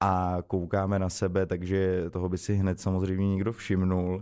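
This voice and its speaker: With a very deep, low pitch and a dark, mellow tone, a man speaks in monotone, flat intonation against a quiet background. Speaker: guest. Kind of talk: interview answer. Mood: relaxed, amused. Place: studio. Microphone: studio mic.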